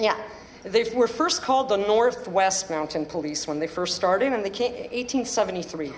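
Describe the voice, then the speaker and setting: The woman's medium-pitched voice has lively intonation, set against noticeable background noise. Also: moderate pace. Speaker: panelist, former police trainee. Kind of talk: panel talk. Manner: halting.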